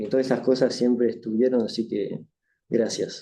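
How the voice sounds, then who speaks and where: A man talks in a French accent at a medium pitch. His pace is moderate. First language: French (speaking Spanish). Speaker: author. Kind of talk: book launch speech with thanks. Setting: university event with live audience. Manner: halting.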